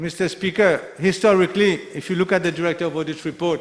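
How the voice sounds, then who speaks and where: Fairly even intonation from a man with a high-pitched voice. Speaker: member of parliament. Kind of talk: parliamentary budget debate speech. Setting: national assembly chamber.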